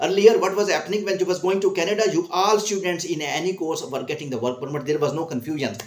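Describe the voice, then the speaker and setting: A man with a high voice talks very fast with hardly any pauses and ordinary pitch variation over noticeable background noise. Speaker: immigration counsellor. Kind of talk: commentary vlog. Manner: halting.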